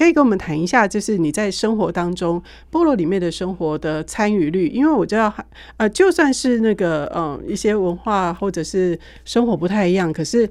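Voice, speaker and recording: Here is a woman with an ordinary speaking voice and medium pitch. She talks at a fairly quick pace with lively intonation. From Taiwan. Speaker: radio host. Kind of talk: radio interview. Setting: studio.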